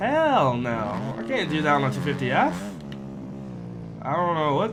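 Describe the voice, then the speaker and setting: A man speaks with music in the background. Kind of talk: casual gameplay commentary. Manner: casual, hesitant.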